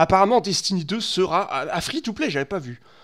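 Behind this man, all is quiet. He keeps to an even, middling speed. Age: 30s. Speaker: gaming streamer. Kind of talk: live stream commentary. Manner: halting, many fillers and repetitions. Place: home room. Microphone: headset.

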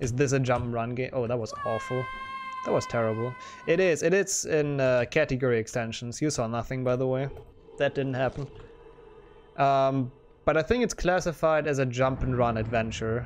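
Light background noise sits behind a man speaking at a moderate pace. His voice has a medium pitch and ordinary pitch variation. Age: 20s. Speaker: speedrunning streamer. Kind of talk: live gameplay commentary. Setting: home bedroom. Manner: animated. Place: home room.

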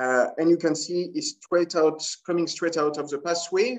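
A man's high-pitched voice with a strong French accent, ordinary pitch variation and a moderate pace, quiet background. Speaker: scuba dive shop owner. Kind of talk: casual talk to camera. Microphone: webcam.

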